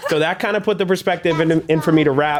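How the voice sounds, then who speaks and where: With an energetic tone and ordinary pitch variation, a man talks at a very fast pace. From Boston area, Massachusetts. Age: 20s. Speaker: rapper. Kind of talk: podcast interview. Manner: casual, energetic.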